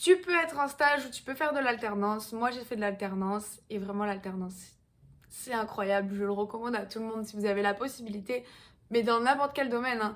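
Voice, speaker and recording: In an unremarkable speaking voice, a woman talks at a fairly quick pace, her pitch fairly high with ordinary variation. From southwestern France, Pau. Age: 20s. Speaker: fitness coach. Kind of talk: casual vlog talk. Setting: at home in apartment.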